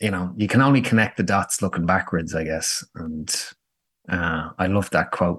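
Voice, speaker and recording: With a Dublin accent, a man talks at a moderate pace in a very deep, low voice with ordinary pitch variation. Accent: Dublin Irish. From Dublin, Ireland. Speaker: startup founder. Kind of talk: business interview. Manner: fluent, filler-heavy, repeats words.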